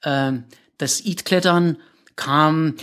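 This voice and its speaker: This is a man's voice. He speaks with a Czech accent. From Czechoslovakia, south of the Krkonoše mountains. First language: Czech (speaking German). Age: 50s. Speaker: rock climber. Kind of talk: interview. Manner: halting, many fillers and repetitions.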